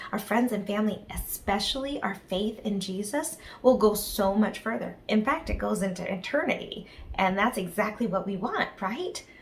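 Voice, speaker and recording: Soft-spoken, a woman talks at a medium pitch. Noticeable background noise is present. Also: ordinary pitch variation, moderate pace. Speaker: children's ministry leader. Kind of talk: children's devotional talk.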